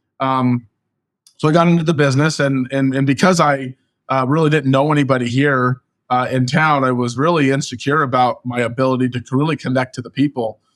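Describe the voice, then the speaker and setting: In a Californian accent, a man talks at a fairly quick pace with a medium pitch and fairly even intonation, on a very clean recording with a silent background and a dry, close sound with no echo. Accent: Californian American English. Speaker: real estate agent. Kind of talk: interview. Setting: podcast interview. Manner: fast.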